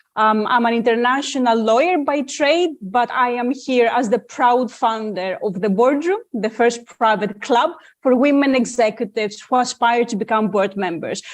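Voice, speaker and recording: A woman with a Greek accent speaks at a high pitch and a moderate pace, with hardly any pauses. Her pitch variation is ordinary, and the background is quiet. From Greece. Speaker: lawyer and founder, panelist. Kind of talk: panel discussion. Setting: video call webinar.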